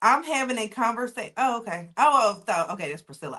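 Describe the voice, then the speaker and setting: A woman speaks with a Southern US accent. Her tone is bright and sharp, with lively intonation. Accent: Southern US, noticeable. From US South. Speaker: data engineer and SQL instructor. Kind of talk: live online class, teaching. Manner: casual, conversational.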